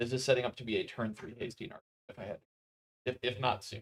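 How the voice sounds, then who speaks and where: Somewhat breathy, the voice keeps fairly even intonation in a dry, close sound with no echo. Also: man. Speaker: tournament commentator. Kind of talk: live commentary. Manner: soft-spoken. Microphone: mic moved closer after audio problem.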